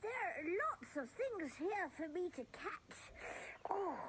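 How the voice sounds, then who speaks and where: An extremely high-pitched put-on character voice, gentle and cheerful in tone, at a fairly slow pace over clear background noise. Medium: audio drama. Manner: gentle, cheerful.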